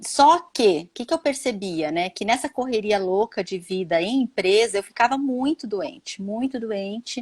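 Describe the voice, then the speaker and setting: In a very clean, dry, close recording with a silent background and no echo, a woman with a fairly high voice speaks at a fairly slow pace with lively intonation and hardly any pauses. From Minas Gerais, Brazil. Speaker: holistic therapist, former economist. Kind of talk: live-stream interview chat.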